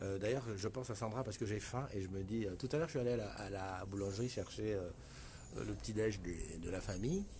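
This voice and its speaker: In a room with audible echo, a man speaks at a fairly quick pace in a fairly low, somewhat breathy voice with a dark, mellow tone and ordinary pitch variation. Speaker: live stream host. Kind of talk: casual live stream chat. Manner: soft-spoken; hesitant.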